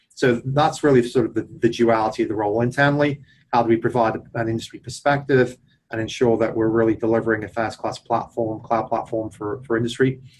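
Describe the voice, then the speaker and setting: A man with an English accent talks at a very fast pace and a medium pitch. His voice is somewhat breathy, his intonation monotone and flat. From England. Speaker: tech executive. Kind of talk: interview.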